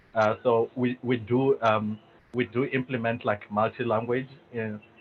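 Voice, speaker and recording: A man's medium-pitched voice with a South African accent, flat and monotone in its intonation. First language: Venda. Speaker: tech company executive, panelist. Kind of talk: webinar panel discussion. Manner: hesitant, many fillers.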